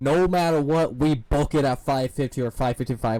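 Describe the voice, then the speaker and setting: He has a fairly high pitch and a dark, mellow tone. The man's pitch variation is ordinary. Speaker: gaming streamer. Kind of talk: live stream commentary with chat. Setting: live stream. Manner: loud.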